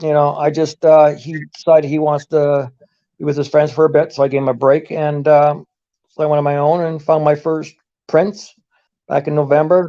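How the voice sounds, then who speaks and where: A man's fairly high voice with a dark, mellow tone, monotone, flat intonation and a moderate pace. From Canada. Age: 60s. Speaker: amateur Bigfoot researcher and YouTuber. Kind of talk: casual interview chat. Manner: hesitant, many fillers.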